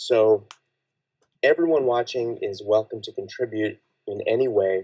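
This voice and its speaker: A man's medium-pitched voice with a dark, mellow tone and a dry, close sound with no echo. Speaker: livestream fiction writer. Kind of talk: live stream chat. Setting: home live stream from blanket fort. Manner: halting.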